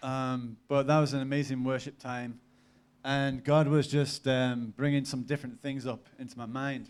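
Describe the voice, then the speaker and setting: A man's medium-pitched voice with an English accent, moderate pace and monotone, flat intonation. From northern England, Cumbria (Lake District, near Barrow). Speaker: preacher, mission worker. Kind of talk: sermon with personal testimony. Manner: casual, many fillers.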